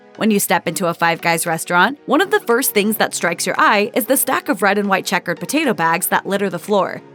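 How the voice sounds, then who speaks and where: Music plays behind a woman speaking at a very fast pace. Her medium-pitched voice has lively intonation. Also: hardly any pauses. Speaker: voiceover narrator. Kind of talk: food explainer narration.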